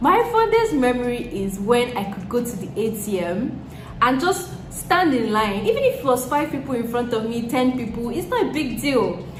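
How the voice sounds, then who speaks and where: A speaker with a Nigerian accent talks at a moderate pace with lively intonation. The room echo is audible and the background noise is noticeable. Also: woman, high pitch for a woman. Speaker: YouTuber. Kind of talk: Q&A vlog chat.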